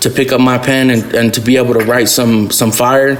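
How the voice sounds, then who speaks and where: Through audible room echo and noticeable background noise, a man speaks at a moderate pace and medium pitch with monotone, flat intonation. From Albuquerque, New Mexico (South Valley). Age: 20s. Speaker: rapper and music producer. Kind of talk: podcast interview. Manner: halting, many fillers.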